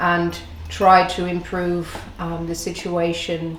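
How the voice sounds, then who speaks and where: Speech from a woman, with audible room echo and noticeable noise behind it. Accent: Dutch. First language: Dutch. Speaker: food and drink host. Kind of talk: presentation to camera.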